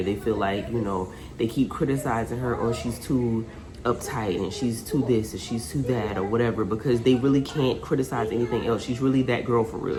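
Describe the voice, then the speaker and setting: Speech from a woman at a moderate pace, very deep and low in pitch, with noticeable background noise and audible room echo. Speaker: booktuber. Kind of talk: casual vlog. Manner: animated.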